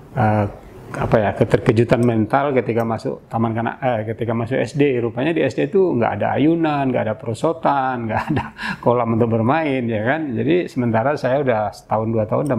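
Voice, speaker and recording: Amid noticeable background noise, a man speaks fairly quickly at a medium pitch. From Indonesia, Aceh Singkil. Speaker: senior journalist. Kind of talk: interview, life story.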